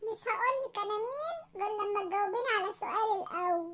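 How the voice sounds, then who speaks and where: A woman puts on a cartoonish character voice at an extremely high pitch. Her pitch variation is ordinary and her pace moderate. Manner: loud, scolding.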